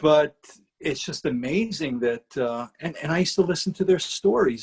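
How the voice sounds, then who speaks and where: A man's somewhat breathy voice, lively in intonation, at a moderate pace. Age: 60s. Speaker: rock guitarist. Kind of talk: interview conversation. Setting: video call. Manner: halting.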